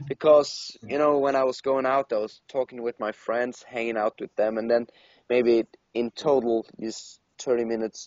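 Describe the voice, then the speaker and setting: A man at a moderate pace with a non-native accent. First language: not English. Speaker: podcast co-host. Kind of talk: casual chat. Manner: halting, many fillers and restarts.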